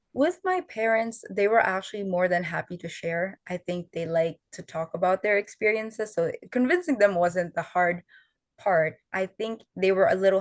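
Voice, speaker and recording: With a quiet background and a dry, close sound free of echo, a woman speaks at a moderate pace in a fairly low pitch. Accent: Filipino. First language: Tagalog. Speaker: student fellow, oral historian. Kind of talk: panel interview.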